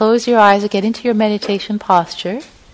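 Noticeable background noise runs under this recording. A woman speaks with a soothing, warm tone at a fairly high pitch. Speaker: meditation teacher. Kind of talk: gentle guided meditation leading a group into compassionate listening. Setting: meditation hall with live group. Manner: slow, soothing, spacious phrasing with breath-paced pauses; warm, informal and chatty between practices, with fillers.

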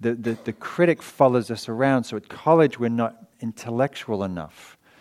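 A man with an English accent. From England. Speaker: meditation teacher and author. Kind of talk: dharma talk. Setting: meditation hall with audience.

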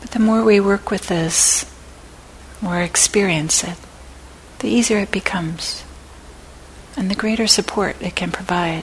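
Amid noticeable background noise, a woman speaks in a gentle, calm tone at a medium pitch, with long, frequent pauses. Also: ordinary pitch variation. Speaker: meditation teacher. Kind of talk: guided meditation. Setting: meditation center talk, recorded for an audience. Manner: slow, calm, soft-spoken; gentle, with long pauses.

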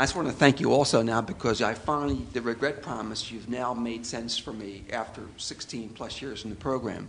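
A man talks in a normal speaking voice at medium pitch. His pace is moderate with ordinary pitch variation and hardly any pauses. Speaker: audience participant. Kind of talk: casual sharing in group.

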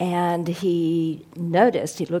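This woman's voice sits fairly low in pitch, with a dark, mellow tone and vocal fry. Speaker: interfaith organizer introducing the speaker. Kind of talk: speaker introduction. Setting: meditation center, audience present.

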